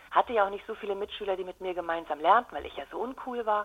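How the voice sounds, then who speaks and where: Lively intonation comes at a very fast pace over noticeable background noise. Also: woman. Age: 40s. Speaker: communication trainer. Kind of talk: interview. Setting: phone call.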